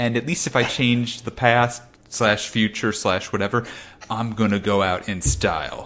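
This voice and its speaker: Here is a man with a normal speaking voice at a medium pitch. He keeps a moderate pace and ordinary pitch variation. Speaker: podcast co-host. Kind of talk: casual comedy podcast chat.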